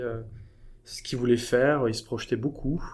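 Fairly even intonation runs through a man's medium-pitched voice. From France. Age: 30s. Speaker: burnout survivor. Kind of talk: interview testimony. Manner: halting.

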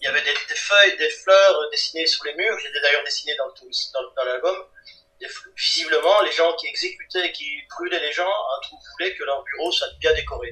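Big swings in loudness run through a man's moderately paced speech, set against noticeable background noise. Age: 50s. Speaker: comic book artist and writer. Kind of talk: interview. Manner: halting, repeats words.

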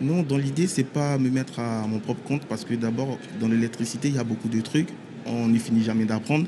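A man speaks at a fairly quick pace. His medium-pitched voice has a dark, mellow tone. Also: ordinary pitch variation. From Ivory Coast. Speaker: electrician apprentice. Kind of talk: radio interview. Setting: trade show floor.

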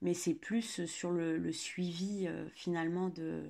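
A woman speaks in a fairly low voice with a dark, mellow tone. The background is quiet. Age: 30s. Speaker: dog owner. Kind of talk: casual chat.

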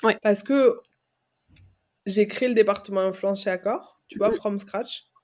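A woman at a moderate pace, fairly high in pitch, with a dark, mellow tone. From France, Aveyron. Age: 20s. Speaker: agency founder. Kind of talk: interview. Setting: video call.

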